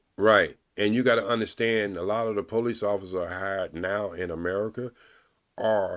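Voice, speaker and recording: This man has an ordinary speaking voice with fairly low pitch, and he talks at a fairly quick pace. The recording is very clean, with a silent background. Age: 60s. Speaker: live stream host. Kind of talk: casual chat.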